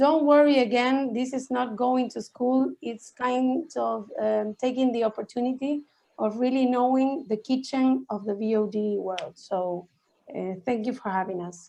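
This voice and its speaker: With a Spanish accent, a woman talks fairly slowly at a high pitch. Her tone is dark and mellow, with ordinary pitch variation. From Argentina. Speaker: VOD industry expert. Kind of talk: online workshop presentation.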